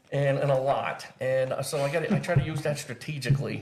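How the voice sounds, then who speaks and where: There is noticeable background noise. A man with a fairly high pitch talks at a very fast pace. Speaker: Marine veteran and wellness coach. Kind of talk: casual interview conversation. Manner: loud; halting, repeats words.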